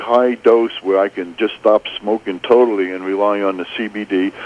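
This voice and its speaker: A man's voice against noticeable background noise. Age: 60s. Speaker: caller. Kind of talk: radio call-in.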